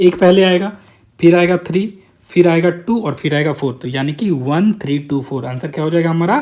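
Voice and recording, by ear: At a fairly quick pace, a man speaks with a slightly mellow tone and ordinary pitch variation.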